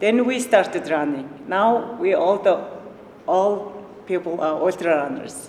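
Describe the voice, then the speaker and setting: A woman speaks with a Mongolian accent and ordinary pitch variation. Noticeable background noise runs behind her. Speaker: ultrarunner. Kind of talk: panel introduction. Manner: halting.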